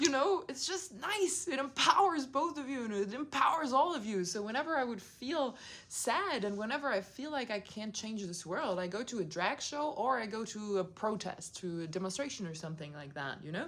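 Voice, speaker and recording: Animated in tone, a woman with a non-native accent speaks at a moderate pace in a high pitch with very wide pitch swings. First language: not English. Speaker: video blogger. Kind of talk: casual monologue.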